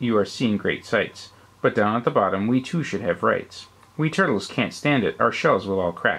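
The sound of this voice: The unforced reading voice moves with lively intonation.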